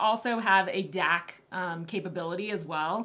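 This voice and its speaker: The speaker is a woman talking at a very slow pace. Her intonation stays lively. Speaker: headphone reviewer guest. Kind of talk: casual chat. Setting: live stream video. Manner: loud.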